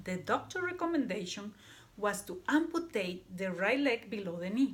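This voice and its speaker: In a Panamanian accent, a woman with a fairly high pitch speaks at a moderate pace, her pitch swinging very widely. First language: Spanish. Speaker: student. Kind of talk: class presentation. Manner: halting.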